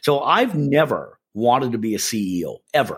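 A man with a Canadian accent has a plain, everyday voice at a medium pitch. He talks at a moderate pace with lively intonation. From Canada. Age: 50s. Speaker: sales and marketing consultant. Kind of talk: interview.

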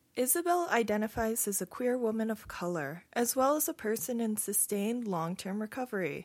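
A woman with a plain, everyday voice, fairly high in pitch, at a moderate pace with lively intonation. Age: 30s. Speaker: podcast co-host. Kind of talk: casual chat; scripted narration.

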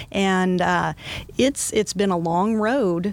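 Against noticeable background noise, a woman of medium pitch speaks at a fairly slow pace. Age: 50s. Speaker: fitness expert and inspirational speaker. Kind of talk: casual interview.

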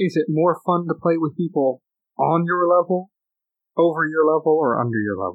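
At a moderate pace, a man uses an ordinary speaking voice, fairly high in pitch, with ordinary pitch variation. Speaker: podcast host. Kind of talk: casual chat. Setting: home.

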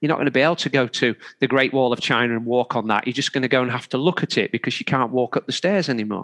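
This man has an English accent. His pitch is medium, with ordinary variation. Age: 50s. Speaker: triathlon coach. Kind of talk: interview. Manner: halting.

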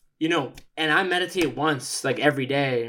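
In a very clean recording with a silent background, a man with a plain, everyday voice talks at a fairly high pitch with ordinary pitch variation. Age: 20s. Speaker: podcast guest. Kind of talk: casual chat.

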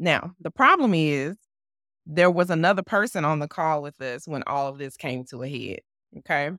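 Recorded dry and close with no echo on a very clean, silent background, a woman with a very deep, low pitch and a bright, sharp tone speaks with big swings in loudness. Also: lively intonation, moderate pace. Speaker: podcast co-host. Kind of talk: casual chat.

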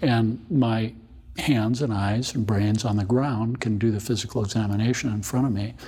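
Here a man has a plain, everyday voice, medium in pitch with fairly even intonation, and keeps a moderate pace. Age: 60s. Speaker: obstetrician and maternal fetal medicine specialist. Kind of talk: interview.

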